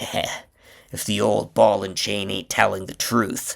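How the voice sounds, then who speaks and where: A man growls in a put-on character voice at a fairly low pitch and fairly slow pace, on a very clean recording with a silent background. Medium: read story.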